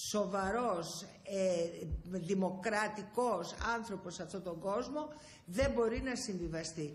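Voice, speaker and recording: Her intonation is lively. The woman talks very slowly. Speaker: politician guest. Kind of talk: interview answer. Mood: serious, earnest. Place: office. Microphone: handheld.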